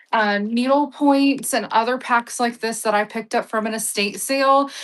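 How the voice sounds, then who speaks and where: An unremarkable speaking voice with an American accent keeps a moderate pace and fairly even intonation. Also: woman, fairly high pitch for a woman. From Texas (Sweetwater/Abilene area). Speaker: live-stream auction seller. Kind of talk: live selling stream. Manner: casual, chatty.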